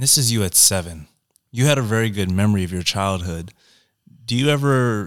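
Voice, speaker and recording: This man has a plain, everyday voice, fairly low in pitch, at a moderate pace on a very clean recording with a silent background. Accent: American. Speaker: podcast host. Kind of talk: casual interview chat. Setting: studio podcast.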